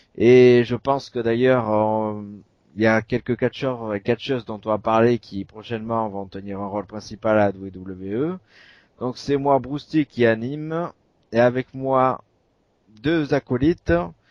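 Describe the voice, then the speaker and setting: A man with an unremarkable speaking voice holds a medium pitch and ordinary pitch variation while talking at a fairly slow pace. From southwestern France. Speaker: wrestling podcast host. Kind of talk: casual chat.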